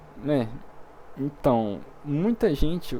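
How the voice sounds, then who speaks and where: Lively in intonation, a man's fairly high voice carries a dark, mellow tone. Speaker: programming teacher. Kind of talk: online class.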